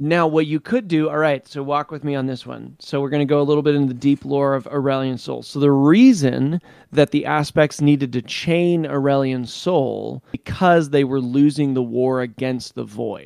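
A man talks at a moderate pace with a plain, everyday voice and hardly any pauses. His pitch is fairly high and his intonation fairly even. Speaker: podcast co-host. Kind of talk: casual chat.

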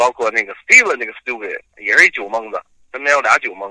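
A man talks at a very fast pace. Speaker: podcast co-host. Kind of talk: casual chat.

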